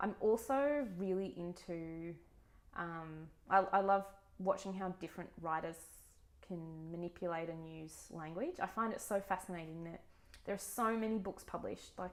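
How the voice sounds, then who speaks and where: A woman with an Australian accent speaks at a moderate pace and medium pitch, with ordinary pitch variation, big swings in loudness and long, frequent pauses. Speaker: book vlogger. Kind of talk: casual vlog monologue. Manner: hesitant, many fillers.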